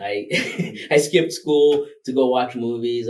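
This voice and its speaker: A man speaks with a Rwandan accent. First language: Kinyarwanda. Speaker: filmmaker. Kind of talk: interview conversation. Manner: hesitant, many fillers.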